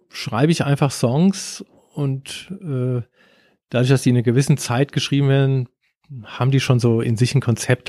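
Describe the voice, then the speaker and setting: A man speaks at a fairly quick pace in a medium pitch, his tone dark, mellow and somewhat breathy, with ordinary pitch variation. The recording is very clean, with a silent background and a dry, close sound with no echo. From Germany. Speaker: surf band musician and guitar teacher. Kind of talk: casual interview. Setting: studio.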